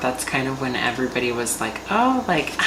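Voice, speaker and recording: A woman with a very deep, low pitch speaks at a moderate pace amid noticeable background noise and audible room echo. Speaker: drag performer and makeup vlogger. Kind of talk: casual vlog chat; makeup tutorial. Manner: quiet, soft-spoken.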